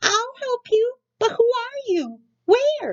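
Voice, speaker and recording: Her pace is very slow. The woman uses a squeaky, put-on character voice pitched extremely high. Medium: read story. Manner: gentle, earnest.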